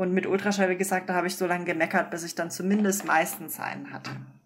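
A woman speaks at a medium pitch with a monotone, flat intonation. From Munich, Bavaria. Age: 30s. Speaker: doctor. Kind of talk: interview.

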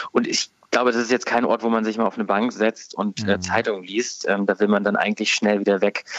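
Speaking at a very fast pace, a man uses a fairly low pitch. His intonation is monotone and flat. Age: 30s. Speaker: newspaper politics editor. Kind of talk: radio interview. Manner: hesitant, many filler words.

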